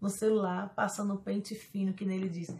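Light background noise sits behind a woman's voice. She speaks at a moderate pace with a Brazilian accent. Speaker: YouTuber. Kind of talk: casual vlog monologue. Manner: animated. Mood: playful, joking confessions. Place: home room. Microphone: phone near.

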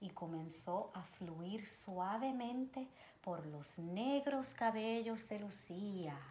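A woman speaks at a very slow pace in a somewhat breathy voice with a dark, mellow tone. Light background noise runs underneath. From Puerto Rico. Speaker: children's educator, nonprofit advisory board member; storyteller reading to children. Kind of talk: reading aloud to children. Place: home room. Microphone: camera far.

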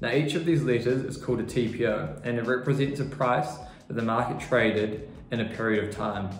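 Speaking in a New Zealand accent, a man talks at a moderate pace with ordinary pitch variation, with audible room echo and music in the background. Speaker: junior trader. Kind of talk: tutorial. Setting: quiet room away from trading floor. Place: office. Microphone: lapel.

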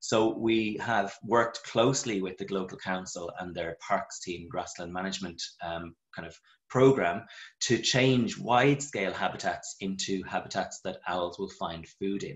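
A man with an Irish accent, fairly low pitch and ordinary pitch variation, at a fairly slow pace over a quiet background. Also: big swings in loudness. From Ireland. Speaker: vet and local wildlife group leader. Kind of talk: webinar presentation. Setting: video call. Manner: enthusiastic. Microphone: video call.

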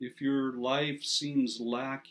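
Slow and medium-pitched, a man's voice shows little pitch movement.

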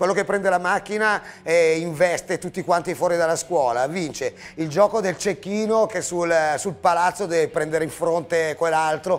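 A man at a high pitch, moderate pace and ordinary pitch variation. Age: 50s. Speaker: punk band musician; TV show host. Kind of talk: casual chat. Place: studio.

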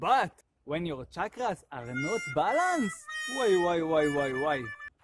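A man's voice swings very widely in pitch over background music, with a dry sound and no echo. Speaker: yoga instructor. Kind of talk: animated promo vlog talk. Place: forest. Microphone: phone near.

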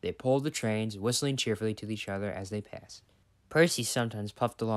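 Plain reading aloud, the pitch moving in an ordinary way.

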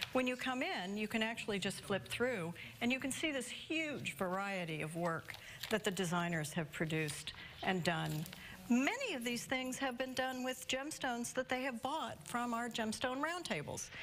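Over light background noise, a woman speaks at a moderate pace with very wide pitch swings. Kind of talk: interview answer. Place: shop. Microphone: lapel.

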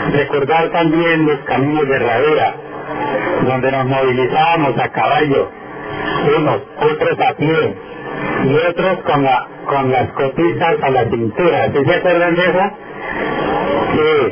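A man's fairly high voice with ordinary pitch variation, at a very slow pace over loud background noise. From Colombian Llanos (Meta); Colombia. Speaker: local politician. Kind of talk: public speech. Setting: outdoors. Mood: nostalgic, warm. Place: street.

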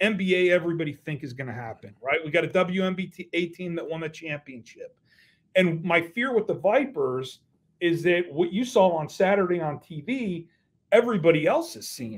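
The intonation is lively. Loudness swings widely throughout. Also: man, high pitch for a man, moderate pace. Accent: American. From Las Vegas, US. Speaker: newspaper sports reporter; guest reporter. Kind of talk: casual interview; interview answer. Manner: halting, repeats words. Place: home room. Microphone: video call.

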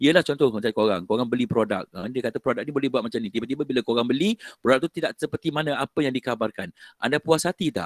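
Against a quiet background, a man talks with lively intonation in a dry sound with no echo. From Malaysia. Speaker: lecturer. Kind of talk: online lecture. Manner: casual, code-switching. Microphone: headset.

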